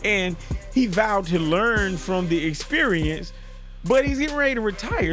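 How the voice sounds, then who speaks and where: Over music in the background, a man speaks in an energetic tone at a moderate pace, his pitch swinging very widely. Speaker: sports commentary YouTuber. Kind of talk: casual talk to camera, sports news commentary. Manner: energetic, conversational.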